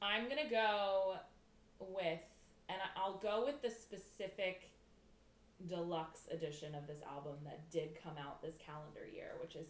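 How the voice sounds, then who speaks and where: The speaker talks at a fairly slow pace with lively intonation, and room echo is audible. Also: woman. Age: 20s. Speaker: podcast co-host. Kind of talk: casual chat. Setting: in person together.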